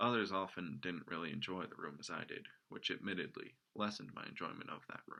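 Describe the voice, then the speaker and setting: A man with a very deep, low pitch speaks in a bright, sharp tone with ordinary pitch variation. He goes at a fairly quick pace with hardly any pauses. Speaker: amateur storyteller. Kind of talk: reading aloud. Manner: dramatic.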